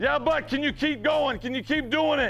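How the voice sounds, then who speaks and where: Music plays in the background. Over it, a man speaks in an energetic tone. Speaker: high school football coach. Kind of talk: locker-room pep talk to team. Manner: energetic, emphatic.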